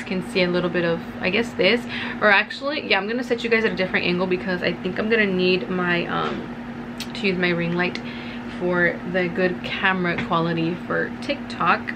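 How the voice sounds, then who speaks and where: A woman talks at a moderate pace while noticeable background noise fills the space behind her. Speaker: beauty vlogger. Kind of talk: casual vlog chat. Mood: upbeat, friendly. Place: home room. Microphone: phone near.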